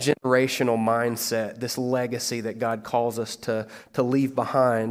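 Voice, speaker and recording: A man in a Kentucky accent with monotone, flat intonation. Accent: Kentucky Southern American. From US South. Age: 30s. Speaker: pastor. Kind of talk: sermon.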